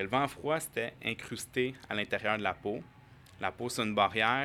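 A man with an ordinary speaking voice, moderate pace and fairly even intonation. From Quebec, Montreal. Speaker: acupuncturist and firefighter. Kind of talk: casual interview.

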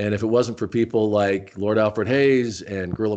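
A plain, everyday voice from a man with an American accent, at a moderate pace with fairly even intonation, against a quiet background. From Arizona, Tucson. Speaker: former wrestling announcer. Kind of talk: interview.

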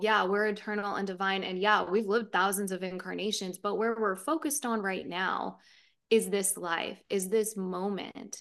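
Over a quiet background, the speaker keeps a moderate pace and fairly even intonation. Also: woman. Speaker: spiritual teacher. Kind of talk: casual interview. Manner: calm delivery.

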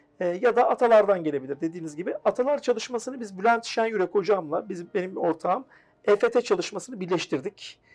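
Speaking at a fairly quick pace, a man uses a high pitch and lively intonation. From Turkey, Afyonkarahisar. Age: 30s. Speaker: personal development coach. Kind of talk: TV interview.

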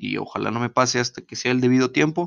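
A man speaks with a Mexican accent. His pitch is medium. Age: 20s. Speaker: podcast host. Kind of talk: casual monologue.

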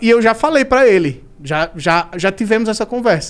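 The man's pitch swings very widely as he speaks. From Maceió, Northeast Brazil. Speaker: comedian. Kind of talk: casual chat.

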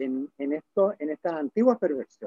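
The tone is dark and mellow, with a dry, close sound that has no echo. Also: man. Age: 70s. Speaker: novelist. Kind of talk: interview. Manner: halting.

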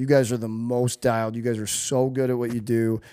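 Speaking with an American accent, a man uses an ordinary speaking voice at a medium pitch with fairly even intonation, recorded very cleanly against a silent background. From US Midwest, St. Louis. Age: 30s. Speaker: former pro hockey player and personal trainer. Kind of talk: casual interview chat.

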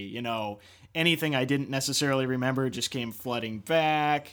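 A man speaks at medium pitch and a moderate pace in an ordinary speaking voice. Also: very clean recording, silent background. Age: 30s. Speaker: podcast co-host. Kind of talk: casual chat about movies.

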